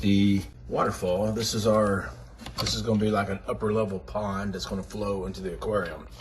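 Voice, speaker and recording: A man with a fairly low pitch talks at a moderate pace amid noticeable background noise and audible room echo. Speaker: reptile enclosure builder. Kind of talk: casual build vlog narration. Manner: casual.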